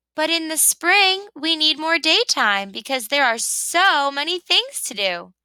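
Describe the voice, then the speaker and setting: Putting on a character voice, a woman talks at an extremely high pitch with an upbeat tone, fairly slow pace and hardly any pauses. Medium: read story. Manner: chirpy, upbeat.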